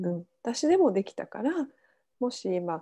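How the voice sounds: With a dark, mellow tone, a woman speaks at a fairly slow pace using lively intonation.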